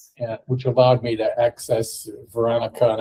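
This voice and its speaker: Moving at a fairly quick pace, a man with an American accent speaks at a medium pitch in a dark, mellow, somewhat breathy tone. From United States. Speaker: technology consultant. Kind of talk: casual chat.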